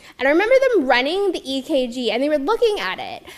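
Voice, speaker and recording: In a Mid-Atlantic US accent, a woman speaks at a high pitch in an animated tone. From Maryland, US (Montgomery County). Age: 30s. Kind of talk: personal testimony talk.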